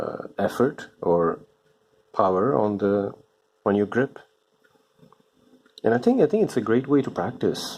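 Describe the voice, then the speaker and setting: A man at medium pitch with ordinary pitch variation, a fairly slow pace and long, frequent pauses. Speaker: comic book artist. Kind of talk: casual drawing chat. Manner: hesitant, many fillers.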